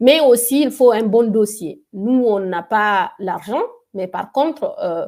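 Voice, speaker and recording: At a very slow pace, a woman speaks with lively intonation at a fairly high pitch. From Guinea. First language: a Guinean local language (speaking French). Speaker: tech entrepreneur. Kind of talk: interview. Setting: webinar video call.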